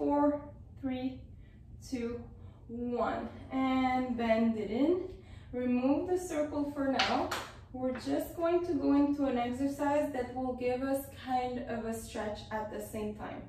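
A woman with a high pitch speaks at a very slow pace with long, frequent pauses and fairly even intonation, amid audible room echo and light background noise. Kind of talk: exercise class instruction. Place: home room. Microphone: camera far.

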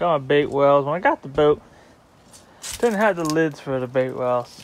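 The sound is dry with no echo as a man speaks at a moderate pace. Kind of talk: casual vlog tour narration. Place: boat. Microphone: phone near.

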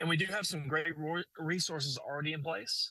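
A man talks very fast at a fairly high pitch with a bright, sharp tone, the sound dry with no echo against a quiet background. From Arkansas. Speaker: storm chaser, nonprofit co-founder. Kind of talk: news interview. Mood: earnest, community-minded. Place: car. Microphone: phone near.

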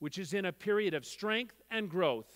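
Against a quiet background, a man is talking. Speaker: gala host. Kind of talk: formal ceremony speech. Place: hall. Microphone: headset.

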